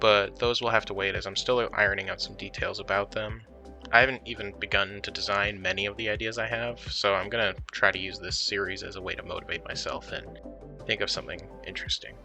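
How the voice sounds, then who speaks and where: A soft-spoken man talks at a very fast pace. Music plays in the background. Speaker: worldbuilding artist. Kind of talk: casual talk about own creative process. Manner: soft-spoken, quiet.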